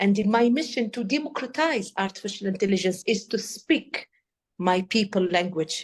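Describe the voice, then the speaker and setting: With an Arabic accent, a woman talks at a moderate pace in a medium pitch with ordinary pitch variation. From Tunisia. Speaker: AI policy expert. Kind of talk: interview. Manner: halting; animated.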